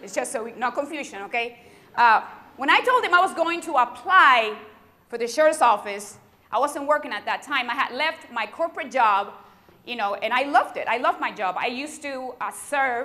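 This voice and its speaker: Over noticeable background noise, a woman speaks at a fairly quick pace in a high, raised, projected voice with an animated tone, lively intonation and big swings in loudness. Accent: strong Puerto Rican. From Puerto Rico. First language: Spanish. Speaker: sheriff's deputy and keynote speaker. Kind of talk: keynote speech. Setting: university convocation with audience.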